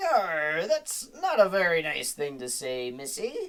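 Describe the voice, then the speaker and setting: A woman uses a put-on character voice at a fairly low pitch. She speaks at a fairly slow pace. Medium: read story. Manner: pirate talk, salty and blustery.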